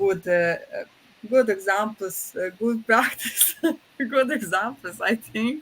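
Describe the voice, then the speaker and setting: A woman speaks with a Croatian accent at a very slow pace. Her pitch is fairly high, with ordinary pitch variation. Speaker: professor, project president. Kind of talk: closing remarks. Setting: online webinar. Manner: halting, many fillers.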